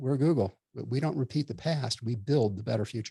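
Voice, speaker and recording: This man talks at a fairly quick pace with a medium pitch and a dark, mellow, somewhat breathy tone, recorded with a dry, close sound and no echo. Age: 60s. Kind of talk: interview. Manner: many filler words and hesitations.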